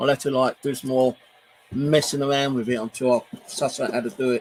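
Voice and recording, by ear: A man speaks at a fairly quick pace with a slightly husky edge, a medium pitch and fairly even intonation.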